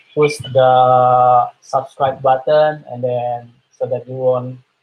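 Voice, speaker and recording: Intonation stays monotone and flat in this somewhat breathy voice. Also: man. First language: Indonesian. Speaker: art teacher for children. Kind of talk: live-stream art tutorial. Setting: live stream webinar. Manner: hesitant, many fillers.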